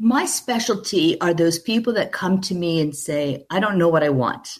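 A woman speaks in an unremarkable speaking voice, fairly low in pitch, with lively intonation. Her pace is moderate, and the background is quiet. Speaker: franchising consultant. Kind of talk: interview.

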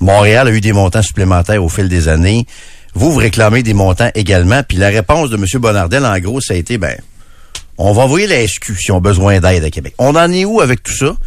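In a normal speaking voice, someone talks at a fairly quick pace with lively intonation. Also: man, fairly low pitch for a man. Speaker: radio host. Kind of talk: casual chat. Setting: studio.

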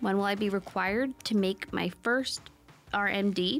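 Over music in the background, a woman talks at a fairly slow pace and medium pitch with ordinary pitch variation. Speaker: radio host. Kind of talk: radio infomercial pitch, urgent call to action. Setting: studio.

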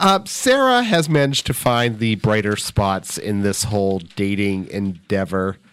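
In a very clean recording with a silent background, a man talks at a fairly slow pace with hardly any pauses. His pitch is fairly low, with ordinary variation, in an unremarkable speaking voice. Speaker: podcast host and newspaper editor. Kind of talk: casual chat. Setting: studio. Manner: joking, wry.

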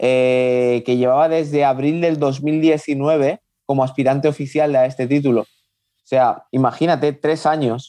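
A man speaks at a fairly slow pace. His pitch is fairly high and his tone dark and mellow. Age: 30s. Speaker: professional boxer. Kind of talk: interview.

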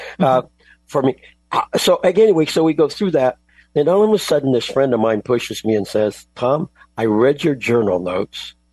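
Over music in the background, the voice moves at a fairly quick pace with very wide pitch swings and very even loudness, in a dry, close sound with no echo. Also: man, fairly high pitch for a man. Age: 80s+. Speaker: author and cooking show host. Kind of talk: interview. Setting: video call. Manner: energetic.

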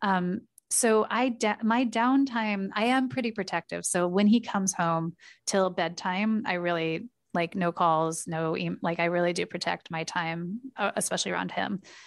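A woman with a General American accent and a normal speaking voice, medium in pitch, with ordinary pitch variation and a moderate pace. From US Pacific Northwest (Portland, Oregon). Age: 40s. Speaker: startup CEO and co-founder. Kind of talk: casual interview.

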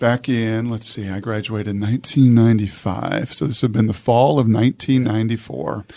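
The sound is dry and close with no echo as a man speaks in a normal speaking voice at medium pitch and a fairly quick pace, with fairly even intonation. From Washington State (Puyallup). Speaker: podcast host. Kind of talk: interview; scripted intro.

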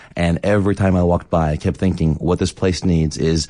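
Speaking at a fairly quick pace against a quiet background, a man with a Philadelphia accent has a very deep, low pitch and monotone, flat intonation. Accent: Philadelphia American English. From US Northeast, Philadelphia. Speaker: restaurant owner. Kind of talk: radio interview. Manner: halting, with frequent repetitions.

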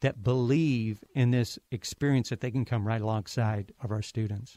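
Against a quiet background, a dark, mellow voice with an American accent moves at a fairly quick pace with fairly even intonation. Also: man. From Ohio. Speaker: university president. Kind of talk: interview.

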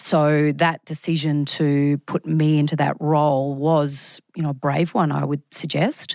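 A woman with an Australian accent speaks fairly slowly at a very deep, low pitch, in a monotone, flat manner. The sound is dry and close with no echo, in a very clean recording with a silent background. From Australia, Brisbane. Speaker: media executive. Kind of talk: interview.

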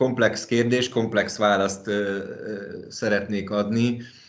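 The pace is very slow and the intonation fairly even. Room echo is audible. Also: man. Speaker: managing partner of a design and construction firm. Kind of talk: interview. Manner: halting, many fillers.

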